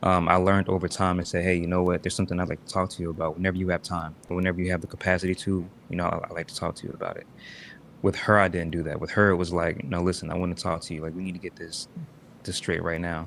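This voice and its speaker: This soft-spoken voice rushes along very fast in a flat monotone. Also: man, very deep, low pitch for a man. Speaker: live streamer. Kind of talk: casual chat.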